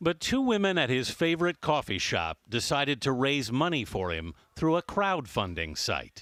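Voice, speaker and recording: On a very clean recording with a silent background and a dry, close sound with no echo, a man speaks at a moderate pace and a fairly high pitch with very wide pitch swings. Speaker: TV news correspondent. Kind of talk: TV news report.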